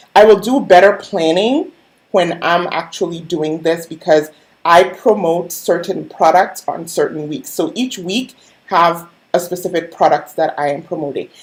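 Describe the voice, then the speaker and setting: A woman with a plain, everyday voice, fairly low in pitch, talks at a moderate pace with ordinary pitch variation. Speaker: online business coach and skincare seller. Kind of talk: live-stream tutorial. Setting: live stream with screen share. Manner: casual, conversational.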